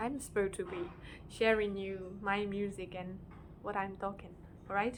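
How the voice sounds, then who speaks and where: Speaking at a moderate pace, a woman with a medium-pitched voice delivers her words in a flat monotone, with audible room echo around her. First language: non-English. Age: 20s. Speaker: amateur singer-songwriter vlogger. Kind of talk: casual vlog talk to camera. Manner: hesitant, many fillers and restarts.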